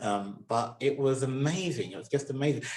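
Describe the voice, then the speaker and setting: A man talks with a southern English accent. His pace is moderate and his pitch variation ordinary. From southern England, Somerset. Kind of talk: interview. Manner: halting.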